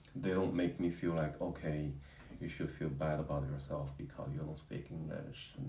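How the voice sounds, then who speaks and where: With a Chinese accent, a man with a very deep, low pitch, a dark, mellow tone, and vocal fry speaks at a moderate pace amid audible room echo. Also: fairly even intonation. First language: Mandarin. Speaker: husband of channel host. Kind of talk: casual interview chat. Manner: halting, with fillers.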